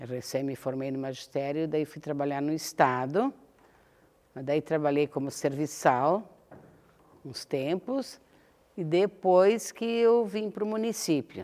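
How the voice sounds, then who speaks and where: A woman's very deep, low voice with a dark, mellow tone, very wide pitch swings and big swings in loudness, at a very slow pace broken by long, frequent pauses. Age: 70s. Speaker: retired teacher and public servant. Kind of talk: interview. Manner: halting.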